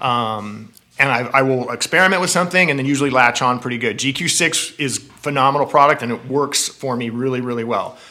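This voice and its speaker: In a plain, everyday voice, a man of medium pitch talks at a fairly quick pace with ordinary pitch variation and hardly any pauses. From Southern California (San Gabriel Valley area). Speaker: cycling apparel sales director. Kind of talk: casual interview. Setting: in person at company headquarters.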